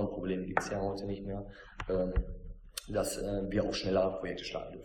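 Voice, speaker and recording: A man talks at a very fast pace and fairly low pitch. Room echo can be heard. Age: 30s. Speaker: production line manager. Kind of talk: interview.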